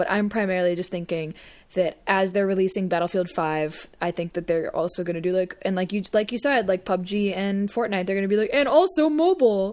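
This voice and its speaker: A woman's normal speaking voice at a medium pitch, fairly quick in pace, with ordinary pitch variation. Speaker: podcast co-host. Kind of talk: casual banter, joking chat.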